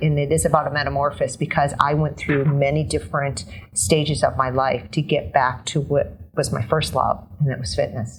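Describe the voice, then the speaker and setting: Her voice is very deep and low for a woman, with vocal fry and ordinary pitch variation. She keeps a moderate pace with hardly any pauses. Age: 50s. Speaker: fitness trainer. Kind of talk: interview answer.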